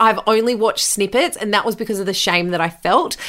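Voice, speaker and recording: Over noticeable background noise, a woman with an Australian accent talks at a medium pitch with ordinary pitch variation. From Australia, New South Wales (Bathurst). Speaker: podcast host and former radio host. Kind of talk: solo podcast monologue, personal storytelling.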